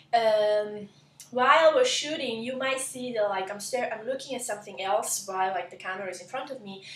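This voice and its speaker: A woman's fairly high voice in an Italian accent, with ordinary pitch variation, big swings in loudness, audible room echo and noticeable background noise. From southern Italy, Lecce (Apulia). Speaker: cooking blogger. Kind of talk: cooking tutorial intro. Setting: home kitchen, camera. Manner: halting, many fillers.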